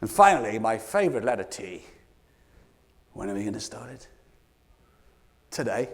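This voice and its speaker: In a British accent, the speaker shows ordinary pitch variation and big swings in loudness, with long, frequent pauses and audible room echo. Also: man, medium pitch for a man. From Scotland. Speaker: keynote speaker. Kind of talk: motivational keynote talk. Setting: stage with audience. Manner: animated; fast.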